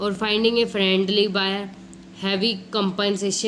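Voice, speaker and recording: Over noticeable background noise and audible room echo, the voice stays monotone with flat intonation. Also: woman. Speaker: online tutor. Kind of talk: exam revision lecture. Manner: soft-spoken.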